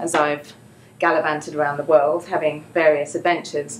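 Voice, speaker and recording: A woman with an English accent at a moderate pace. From England. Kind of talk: live storytelling performance.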